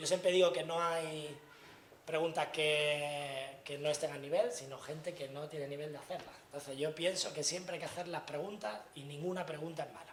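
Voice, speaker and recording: A fairly high-pitched male voice with fairly even intonation and big swings in loudness, plus audible room echo and noticeable background noise. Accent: Andalusian. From Andalusia, Granada. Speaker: tech industry speaker. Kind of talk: lecture. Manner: fast.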